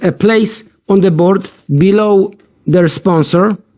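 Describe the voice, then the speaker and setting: At a very slow pace, a man speaks in a high voice with a non-native accent. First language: not English. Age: 50s. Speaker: platform founder. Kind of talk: sales pitch. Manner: halting.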